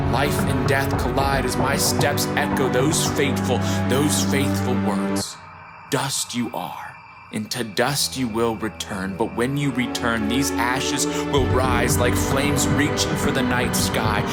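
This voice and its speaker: Music plays in the background as a man with a fairly low pitch talks at a fairly slow pace with lively intonation. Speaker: spoken word poet. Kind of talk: spoken word poetry performance over music.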